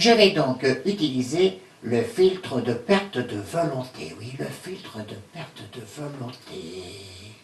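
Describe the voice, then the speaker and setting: A man uses a cartoonish character voice at medium pitch. He talks fairly slowly, with very wide pitch swings. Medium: puppet.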